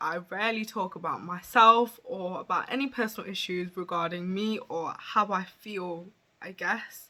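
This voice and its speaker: A woman talks in a medium pitch with ordinary pitch variation. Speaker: beauty influencer. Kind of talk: personal vlog. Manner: halting.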